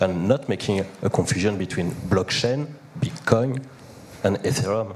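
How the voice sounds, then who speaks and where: Amid noticeable background noise, a man with a fairly low pitch talks at a moderate pace with lively intonation. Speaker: panel participant. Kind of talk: panel discussion.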